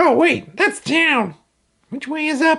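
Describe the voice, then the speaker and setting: A cartoonish character voice pitched high. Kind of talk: children's educational puppet show. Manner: upbeat, playful.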